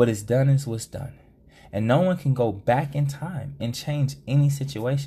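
A man speaks at medium pitch with ordinary pitch variation and a moderate pace. His tone is dark and mellow, and somewhat breathy. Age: 30s. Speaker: podcast host. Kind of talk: solo podcast monologue.

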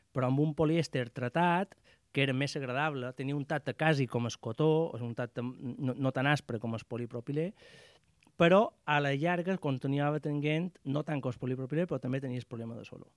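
Speech moves at a fairly quick pace with ordinary pitch variation. The sound is dry and close with no echo, and the recording is very clean with a silent background. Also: man, fairly high pitch for a man. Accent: Mallorcan. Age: 50s. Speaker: outdoor gear shop owner. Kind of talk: radio interview.

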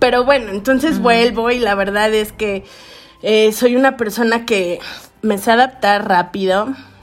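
Over music in the background, a woman speaks at a fairly slow pace. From Veracruz, Mexico (Xalapa and Puerto de Veracruz). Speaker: podcast co-host. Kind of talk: casual chat.

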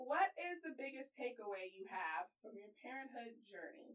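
A woman with an American accent speaks at a fairly slow pace in a high pitch, her voice making very wide pitch swings. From Texas, Houston. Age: 20s. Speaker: podcast co-host, PR marketer and influencer. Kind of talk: casual interview.

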